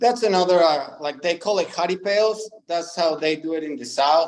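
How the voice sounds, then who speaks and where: Speaking with a Spanish accent at a moderate pace, a man uses a fairly high pitch with ordinary variation. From Mexico, ranch in small town. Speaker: professional bull rider. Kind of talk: interview. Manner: hesitant, many fillers.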